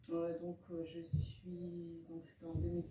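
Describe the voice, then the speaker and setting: Noticeable background noise sits behind the voice. The pace is very slow. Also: woman. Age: 50s. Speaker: herbalist and naturopath shop owner. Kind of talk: interview. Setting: in her shop. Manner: hesitant, many fillers.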